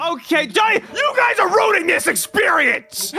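Shouting in a put-on character voice, a man goes at a moderate pace with an extremely high pitch. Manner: screaming.

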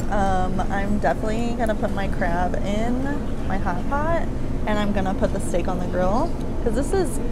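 Speech at a moderate pace under loud background noise. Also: woman. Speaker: food vlogger. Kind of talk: casual vlog chat. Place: cafe. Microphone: camera far.

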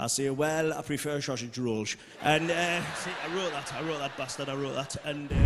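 A man with a Geordie accent, fairly high pitch and fairly even intonation, moderate pace, noticeable background noise behind him. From Newcastle, North East England. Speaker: stand-up comedian. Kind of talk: live stand-up comedy set. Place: stage. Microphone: handheld.

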